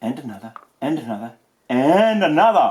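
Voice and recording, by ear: A man's voice has a slightly husky edge. His pitch swings widely.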